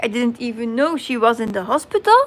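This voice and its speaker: At a moderate pace, a woman is talking. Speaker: crafting livestreamer. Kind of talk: casual chat on livestream. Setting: live stream. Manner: halting.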